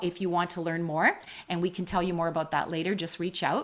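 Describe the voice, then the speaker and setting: A woman at a fairly quick pace. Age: 60s. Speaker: motivational speaker and coach. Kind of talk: online presentation. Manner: animated.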